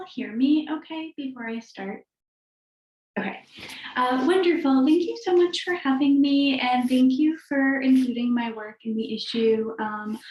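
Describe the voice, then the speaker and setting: A woman talks in a high voice whose pitch varies in an ordinary way. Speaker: fiction writer. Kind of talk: casual chat; reading aloud. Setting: video call.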